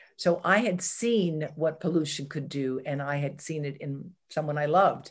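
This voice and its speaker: A woman speaks at a fairly slow pace in a very deep, low pitch with ordinary variation. Behind her the background stays quiet. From southwestern Pennsylvania, US. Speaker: environmental health scientist; interview guest. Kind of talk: interview. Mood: reflective, personal memories. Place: home room. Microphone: video call.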